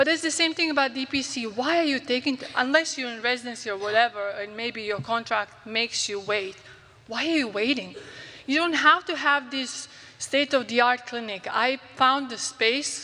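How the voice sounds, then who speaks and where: A woman with a Croatian accent, a high pitch and ordinary pitch variation, at a moderate pace over noticeable background noise. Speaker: physician. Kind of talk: conference talk.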